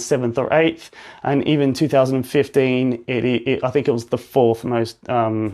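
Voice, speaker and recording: Against a quiet background, a man with an Australian accent speaks at a moderate pace and medium pitch. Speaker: physiotherapist. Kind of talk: live-stream talk and education. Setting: Instagram live stream.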